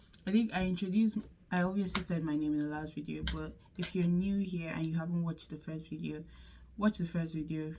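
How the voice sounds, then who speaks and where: There is noticeable background noise behind this woman's voice. She speaks at a moderate pace with fairly low pitch and fairly even intonation. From Nigeria. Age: 20s. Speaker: vlogger. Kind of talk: casual chat.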